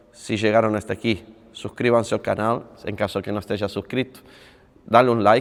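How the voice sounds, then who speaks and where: Speaking at a fairly quick pace, the man keeps a fairly low pitch and a monotone, flat intonation. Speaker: padel coach and youtuber. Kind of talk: casual vlog talk to camera. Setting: on a padel court.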